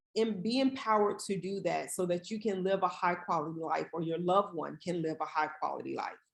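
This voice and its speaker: A woman at a medium pitch speaks with ordinary pitch variation. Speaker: palliative care physician. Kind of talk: webinar presentation. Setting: online webinar. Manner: fast.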